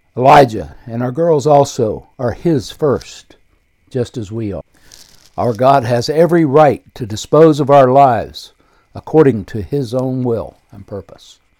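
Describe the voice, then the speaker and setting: A man with an American accent speaks at a fairly slow pace and medium pitch, with ordinary pitch variation. His tone is dark and mellow, his loudness swings widely, and the recording is very clean with a silent background. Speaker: podcast host and author reading his book. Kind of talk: reading aloud from own book, with devotional prayer and personal memoir passages. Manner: earnest, reverent, fervent in the prayer passage; unpolished, informal, ad-libbing while reading.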